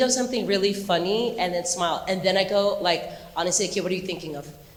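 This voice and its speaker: An American-accented woman speaks at a medium pitch with ordinary pitch variation. Noticeable background noise and audible room echo are present. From Southern California, Anaheim. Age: 40s. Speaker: dance choreographer and teacher. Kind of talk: talk to students with Q&A. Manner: animated.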